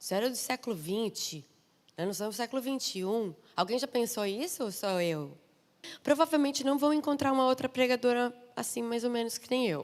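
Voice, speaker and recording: Animated and high-pitched, a woman with a southern Brazilian accent speaks at a moderate pace with lively intonation and long, frequent pauses. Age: 30s. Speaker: missionary preacher. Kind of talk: sermon.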